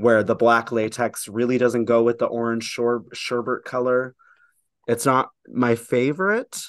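An unremarkable speaking voice from a man, medium in pitch, at a moderate pace. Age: 20s. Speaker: drag performer. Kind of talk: casual chat.

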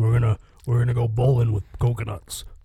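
In a put-on character voice, the speaker talks at a moderate pace with flat, monotone intonation. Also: man, medium pitch for a man. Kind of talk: folksy Old West speech. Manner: scheming, confident.

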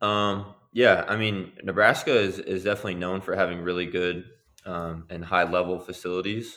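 The man's pitch is very deep and low, and his pace is moderate. He speaks in a monotone with flat intonation. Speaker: professional basketball player. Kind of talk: interview.

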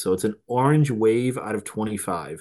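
A man speaks at a medium pitch. His pace is moderate and his pitch variation ordinary.

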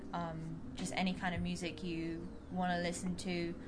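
A woman with a London accent speaks at a moderate pace. Room echo and noticeable background noise can be heard. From London, England. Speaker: rhythm guitarist and backing vocalist. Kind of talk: casual chat.

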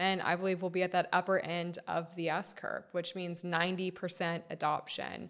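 A woman with an American accent speaks at a fairly slow pace with hardly any pauses, her fairly low voice monotone and flat. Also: very clean recording, silent background. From Florida, US. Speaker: founder of a trade association. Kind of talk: interview.

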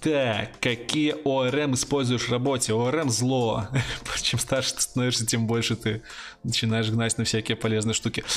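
A man talks at a moderate pace with a medium pitch. His loudness stays very even. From Belarus. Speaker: YouTube channel host, IT blogger. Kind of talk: live stream chat with viewers. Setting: live stream with webcam and headphones. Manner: animated.

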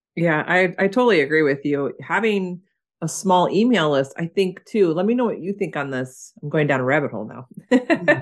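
With an unremarkable speaking voice, this woman talks at a moderate pace and fairly low pitch, her intonation lively. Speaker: podcast host. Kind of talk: casual interview chat.

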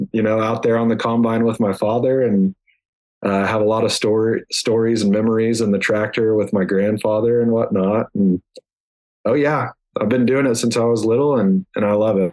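At a fairly quick pace, a man of medium pitch talks with fairly even intonation and very even loudness. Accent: American. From Oklahoma. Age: 20s. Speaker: land real estate agent. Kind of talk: casual interview.

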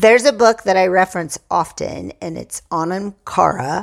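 A woman talks at a fairly slow pace with vocal fry. The recording is very clean, with a silent background. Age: 50s. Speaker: chiropractor and author on sobriety. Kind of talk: casual interview.

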